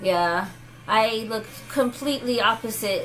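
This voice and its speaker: A woman speaks with audible echo from the room. Music plays behind her. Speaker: vlogger. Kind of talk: casual chat. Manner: animated.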